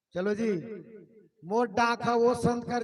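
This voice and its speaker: A man speaks at a fairly slow pace. His pitch is extremely high. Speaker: event announcer. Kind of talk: stage announcement. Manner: casual.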